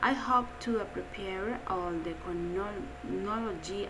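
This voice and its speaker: A woman at a medium pitch with ordinary pitch variation is heard amid noticeable background noise and audible room echo. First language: Spanish. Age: 30s. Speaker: English language student. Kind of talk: reading aloud. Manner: halting.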